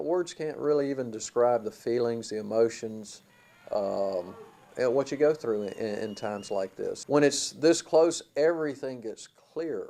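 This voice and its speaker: This man has an unremarkable speaking voice. His pitch is medium, and it varies in an ordinary way. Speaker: retiring college baseball head coach. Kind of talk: interview answer.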